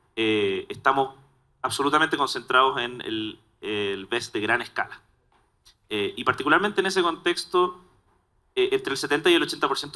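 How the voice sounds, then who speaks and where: A man with a Chilean accent speaks at a moderate pace. His tone is bright and sharp, his pitch fairly high. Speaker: solar storage industry technical lead. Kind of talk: panel discussion.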